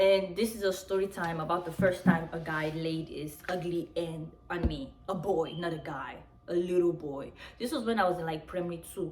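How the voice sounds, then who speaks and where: Music plays in the background, and audible room echo can be heard. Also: woman, fairly low pitch for a woman, moderate pace. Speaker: YouTuber. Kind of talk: story time, casual vlog. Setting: at home, outdoors in sun. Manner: animated; quieter than usual.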